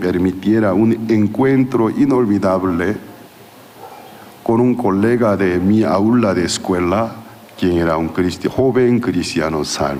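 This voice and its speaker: A man with a Korean accent at a very slow pace, fairly low in pitch with ordinary pitch variation, amid audible room echo and noticeable background noise. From South Korea. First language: Korean (speaking Spanish). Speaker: pastor. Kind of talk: sermon. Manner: halting.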